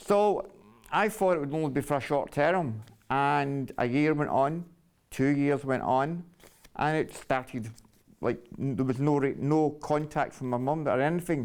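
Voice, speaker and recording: With a Glasgow accent, a man speaks at a fairly slow pace in a fairly high pitch with ordinary variation, against a quiet background. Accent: Scottish, Glasgow. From Scotland, Glasgow. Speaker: storyteller sharing life story. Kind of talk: personal testimony. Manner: halting.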